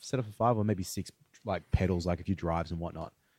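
Fairly low male voice with an Australian accent, dark and mellow in tone, in a dry, close sound with no echo. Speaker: podcast host, guitarist. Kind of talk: casual chat.

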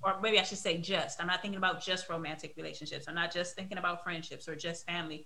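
A woman with a fairly low pitch talks very fast in a flat monotone with hardly any pauses, with audible room echo and noticeable background noise. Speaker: podcast host. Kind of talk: casual interview.

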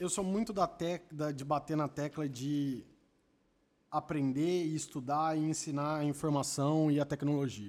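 This man has an unremarkable speaking voice, fairly high in pitch with ordinary pitch variation, at a fairly slow pace. The recording is very clean, with a silent background. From Campinas, São Paulo state, Brazil. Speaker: podcast panelist. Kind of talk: casual chat.

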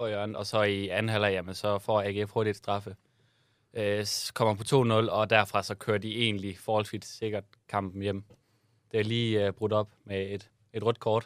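A man's fairly low, monotone, flat voice at a moderate pace, in a very clean recording with a silent background. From Southern Jutland, Denmark. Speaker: podcast co-host. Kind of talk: casual chat.

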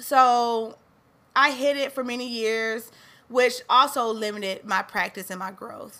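The voice moves at a fairly slow pace with fairly even intonation, a bright, sharp tone and big swings in loudness. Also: woman, high pitch for a woman. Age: 30s. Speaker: podcast host. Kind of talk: solo podcast talk. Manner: casual, conversational with fillers.

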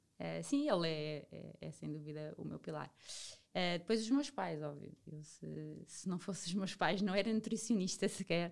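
Big swings in loudness from a woman at a moderate pace. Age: 30s. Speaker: nutritionist. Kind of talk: casual interview chat.

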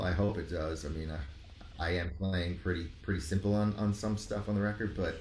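A man's fairly low voice at a moderate pace, ordinary pitch variation, and audible room echo. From New York, Rockland County suburbs. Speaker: musician. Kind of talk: casual chat.

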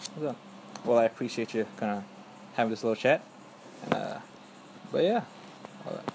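A man's medium-pitched voice at a moderate pace, ordinary pitch variation, long and frequent pauses, and noticeable background noise. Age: young. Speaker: student interviewer. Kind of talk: casual interview.

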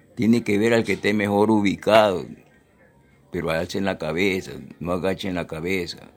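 A man speaks at a moderate pace with a very deep, low pitch and fairly even intonation. He leaves long, frequent pauses while music plays in the background. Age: 80s+. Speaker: retired footballer. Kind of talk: interview. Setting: at his home.

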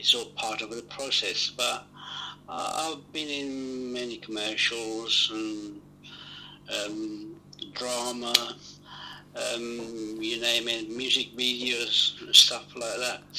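A man with an Italian accent and medium pitch speaks very slowly in a flat monotone, taking long, frequent pauses over noticeable background noise. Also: big swings in loudness. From Italy. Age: 70s. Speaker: actor. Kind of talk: interview.

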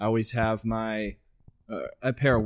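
A man with an American accent speaks at a fairly low pitch in a very clean recording with a silent background. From Central Texas. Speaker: fitness podcast co-host. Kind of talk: casual chat.

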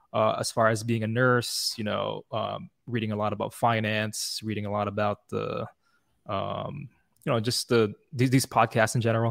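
A man speaks at medium pitch and a moderate pace, with fairly even intonation and vocal fry. The sound is dry and close with no echo, on a very clean recording with a silent background. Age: 30s. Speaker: nurse and comics founder. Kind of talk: casual interview chat. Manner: hesitant, many fillers.

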